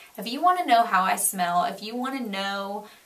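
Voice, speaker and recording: A woman with an American accent and a fairly high pitch at a moderate pace, with audible room echo and noticeable background noise. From Florida, US South. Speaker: beauty vlogger. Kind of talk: product review vlog; reading aloud. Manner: animated.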